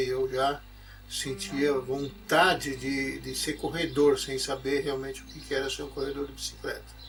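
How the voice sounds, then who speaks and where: Moderate pace, with music in the background. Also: man. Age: 60s. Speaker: former cyclist. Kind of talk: personal life story. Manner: halting, with repetitions and fillers.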